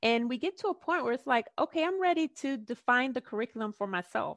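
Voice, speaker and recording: Speaking at a moderate pace with lively intonation, a woman sounds dry and close with no echo against a quiet background. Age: 40s. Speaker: life coach and author. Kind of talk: interview. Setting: video call.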